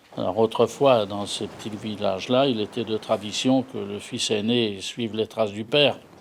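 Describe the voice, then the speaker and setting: This man's voice sits fairly low, with fairly even intonation. Noticeable background noise runs behind him. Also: moderate pace, hardly any pauses. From Normandy, France (Yport near Fécamp). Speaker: retired trawler captain. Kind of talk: testimony; scripted narration. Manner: halting.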